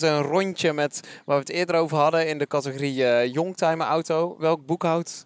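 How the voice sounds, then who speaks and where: A man talks at a fairly quick pace in a high voice with fairly even intonation. The recording is very clean with a silent background and a dry, close sound with no echo. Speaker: podcast host, interviewer. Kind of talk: casual interview. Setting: walking outdoors in a park.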